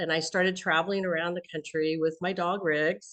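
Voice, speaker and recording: A woman's fairly low-pitched, normal speaking voice with ordinary pitch variation. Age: 60s. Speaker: entrepreneur and business coach for veterans. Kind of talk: podcast interview.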